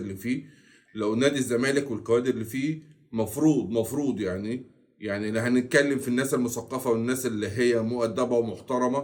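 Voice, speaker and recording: This man speaks with an Egyptian accent at a medium pitch. His intonation stays fairly even. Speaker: football commentary youtuber. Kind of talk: casual commentary monologue. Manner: deliberately slower and louder than usual.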